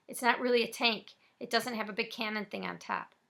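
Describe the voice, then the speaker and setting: In a put-on character voice, a woman talks fairly quickly with a raspy, fairly high-pitched sound and monotone, flat intonation. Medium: read story. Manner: sarcastic.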